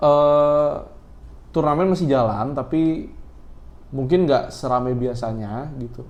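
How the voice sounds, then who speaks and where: In a room with audible echo, a man with a fairly high pitch and ordinary pitch variation speaks at a very slow pace with long, frequent pauses. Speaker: podcast host who runs a shop. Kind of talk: casual chat.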